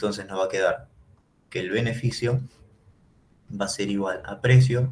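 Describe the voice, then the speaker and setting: At a moderate pace, a man with a fairly low pitch uses ordinary pitch variation and has vocal fry. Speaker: economics teacher. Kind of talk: lecture.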